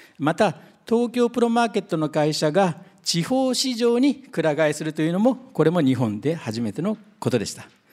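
A man's high-pitched voice at a moderate pace, full of very wide pitch swings. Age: 60s. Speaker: company president and founder. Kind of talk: investor presentation. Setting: seminar stage with audience.

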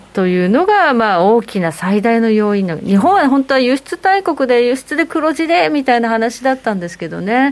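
A woman's high voice at a moderate pace, with hardly any pauses and very wide pitch swings. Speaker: radio show presenter. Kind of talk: radio talk show. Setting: studio.

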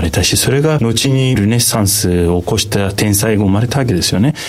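A man talks with a Turkish accent. Room echo is audible, along with noticeable background noise. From Turkey. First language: Turkish (speaking Japanese). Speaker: economist and market analyst. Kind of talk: radio interview.

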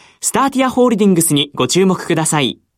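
A woman's fairly low voice with very wide pitch swings, on a very clean recording with a silent background. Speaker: radio announcer. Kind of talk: radio interview. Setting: studio. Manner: formal.

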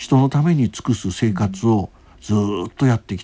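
Lively intonation and a dark, mellow tone mark a man speaking at a moderate pace. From Japan, Hiroshima. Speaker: palliative care physician. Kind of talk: interview.

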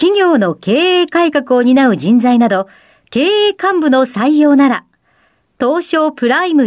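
A woman speaks very slowly at a high pitch with very wide pitch swings, in a dry, close sound with no echo over a quiet background. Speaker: radio show assistant host. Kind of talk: radio interview. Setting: studio. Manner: formal.

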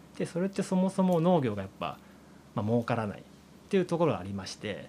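His pitch swinging very widely, a man talks at a very fast pace. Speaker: farmer. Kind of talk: interview. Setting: on location at a farm.

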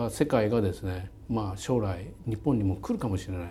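Using an unremarkable speaking voice, a man talks at a fairly quick pace in a fairly low pitch. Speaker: company chairman and CEO. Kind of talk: interview.

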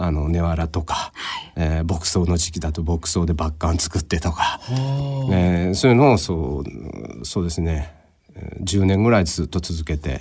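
Very deep and low, a man's somewhat breathy voice moves at a fairly slow pace. His pitch varies in an ordinary way. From Japan, Fukuoka. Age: 50s. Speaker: painter. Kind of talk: interview. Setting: studio.

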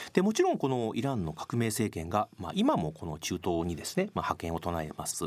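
Very clean, silent-backed audio of a man at a rather quick tempo. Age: 50s. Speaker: Middle East expert, economic researcher and former newspaper correspondent. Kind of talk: radio interview.

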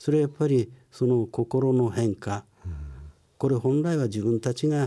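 On a very clean recording with a silent background, a man with a dark, mellow tone speaks at medium pitch with ordinary pitch variation. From Japan, Ibaraki (Chikusei), born in Tokyo. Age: 60s. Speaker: company president, care business founder. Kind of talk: interview, life story. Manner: lecture-like.

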